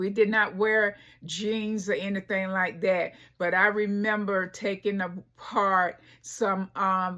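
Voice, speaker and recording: Speaking very slowly in a flat monotone, a woman with an American accent and a bright, sharp tone is captured in a very clean recording with a silent background. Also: medium pitch for a woman. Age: 70s. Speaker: fashion vlogger. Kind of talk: casual personal vlog monologue. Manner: halting, many fillers.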